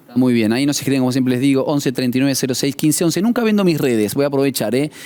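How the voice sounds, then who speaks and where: A man speaks very fast at a fairly high pitch with ordinary pitch variation. His loudness stays very even amid noticeable background noise. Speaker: radio host. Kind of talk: reading listener questions on a talk show.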